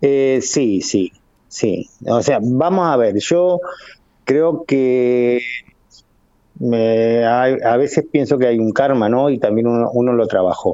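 A man at a very slow pace, very even in loudness, with ordinary pitch variation. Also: medium pitch for a man. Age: 50s. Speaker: motorcycle racer. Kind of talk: casual interview. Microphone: choppy internet connection.

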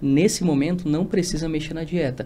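A somewhat breathy man with a dark, mellow tone at a fairly quick pace. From Rio Grande do Sul, Brazil. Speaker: nutritionist. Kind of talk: casual interview.

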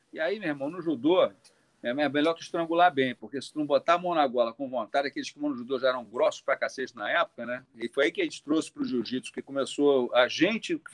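Heard with a dry, close sound and no echo, a man with a fairly high pitch talks at a very fast pace with ordinary pitch variation. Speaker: jiu-jitsu master and doctor. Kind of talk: casual live stream chat.

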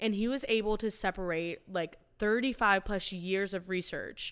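A woman's medium-pitched voice in a very clean recording with a silent background. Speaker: podcast co-host. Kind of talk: casual chat. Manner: talkative.

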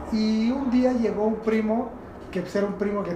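Amid noticeable background noise and audible room echo, a man speaks at a moderate pace with fairly even intonation. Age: 40s. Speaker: skateboarder and communicator. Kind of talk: casual chat.

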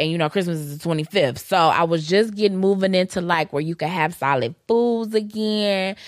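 A woman with an American accent and a normal speaking voice speaks at a moderate pace and fairly low pitch with ordinary pitch variation, on a very clean recording with a silent background. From Detroit, Michigan. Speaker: podcast co-host. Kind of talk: casual chat.

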